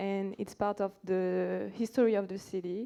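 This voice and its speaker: Here a woman speaks with a French accent. Her intonation stays fairly even and her pace is fairly slow. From France, Saint-Étienne. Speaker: audience member. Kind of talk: conference Q&A. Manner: halting.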